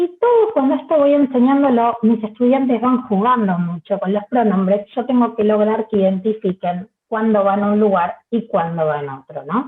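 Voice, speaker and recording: With hardly any pauses, a woman talks at a moderate pace in a fairly high pitch with lively intonation. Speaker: Spanish teacher trainer. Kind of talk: lecture.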